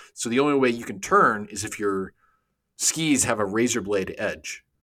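A man keeps a moderate pace and ordinary pitch variation in a very clean recording with a silent background. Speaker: podcast co-host. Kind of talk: casual chat.

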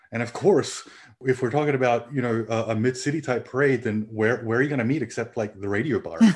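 Someone with an Australian accent talks at a very fast pace with ordinary pitch variation. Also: man, medium pitch for a man. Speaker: parade organizer. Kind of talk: casual chat.

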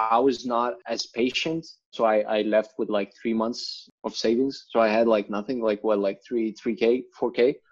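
A man speaks at a moderate pace with a Lithuanian accent, hardly pausing at all. The background is quiet. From rural Lithuania. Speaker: writer and content marketer. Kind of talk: interview. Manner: frequent fillers and repetitions.

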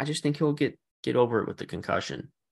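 Vocal fry runs through a man's speech against a quiet background. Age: 30s. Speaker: sports podcast co-host. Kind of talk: casual chat.

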